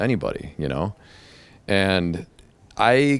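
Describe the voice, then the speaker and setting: A man talks with an American accent and ordinary pitch variation. The recording is very clean, with a silent background. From Chicago area, US (Calumet City, Illinois). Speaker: hairdresser and public speaking coach. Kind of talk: casual interview chat.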